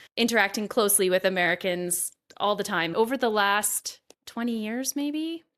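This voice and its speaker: A very clean recording with a silent background of a woman with a Canadian accent at medium pitch and a fairly slow pace. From western Canada, near Montana border. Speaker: podcast host. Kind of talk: interview conversation.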